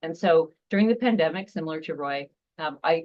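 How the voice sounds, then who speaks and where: A woman with an American accent has an unremarkable speaking voice, fairly low in pitch with ordinary variation, at a moderate pace. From Seattle. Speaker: nonprofit founder. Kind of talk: presentation.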